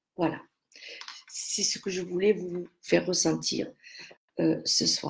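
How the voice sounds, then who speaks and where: A woman talks very slowly, pausing often and at length. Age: 60s. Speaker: aromatherapy seller. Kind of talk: live stream talk. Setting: live video stream. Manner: halting.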